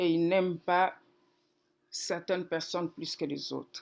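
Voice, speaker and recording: In a very clean recording with a silent background, a woman with a fairly low pitch speaks very slowly. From DR Congo, Kikwit. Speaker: pastor. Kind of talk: testimony.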